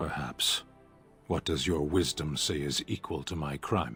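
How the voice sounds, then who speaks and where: Over clear music in the background, a man does a put-on character voice, very deep and low, at a moderate pace. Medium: video game. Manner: slow, formal, emotionless.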